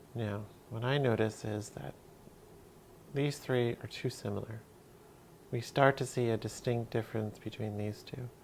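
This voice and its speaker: Speech moves at a moderate pace. Long pauses come often. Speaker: art teacher. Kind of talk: tutorial.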